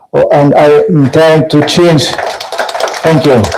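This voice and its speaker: The man's dark, mellow tone comes at a fairly slow pace. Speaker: tech company founder. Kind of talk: conference talk. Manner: halting, many fillers.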